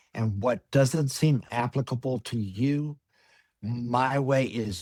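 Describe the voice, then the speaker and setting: Here a man talks in an unremarkable speaking voice. He goes at a fairly slow pace with ordinary pitch variation. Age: 60s. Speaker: personal chef. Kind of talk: webinar presentation.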